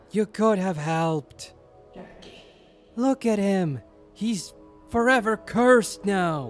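A put-on character voice at middle pitch, very slow with long, frequent pauses, over clear music in the background. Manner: bitter, accusing.

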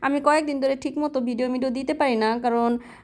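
The recording is very clean and the background silent. A woman does the talking. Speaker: vlogger and domestic worker. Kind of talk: casual vlog narration. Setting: outdoors walking to shop.

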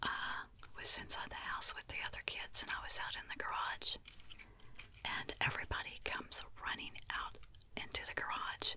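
Soft whispering comes at a moderate pace, broken by long, frequent pauses, with light background noise. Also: woman. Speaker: ASMR content creator. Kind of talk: soft-spoken storytelling. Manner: soft close-mic whisper. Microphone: studio mic.

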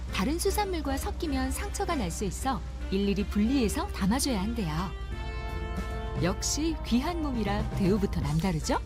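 With music in the background, a woman speaks at a moderate pace in an upbeat tone. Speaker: voice actor. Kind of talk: TV documentary narration. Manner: bright, upbeat; natural, conversational.

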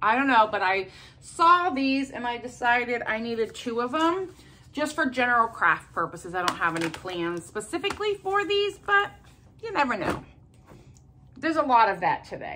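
Over light background noise, a woman talks at a high pitch. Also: moderate pace. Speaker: haul vlogger. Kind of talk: casual vlog chat. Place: home room. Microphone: phone near.

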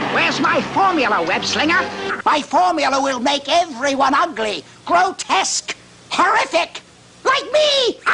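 The delivery moves at a moderate pace. It uses a put-on character voice. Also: man, extremely high pitch for a man. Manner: hammy, menacing, theatrical.

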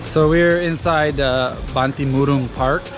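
A man's voice comes through with clear music in the background and a dry sound with no echo. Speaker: travel vlogger. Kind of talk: casual vlog chat. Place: garden. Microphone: phone near.

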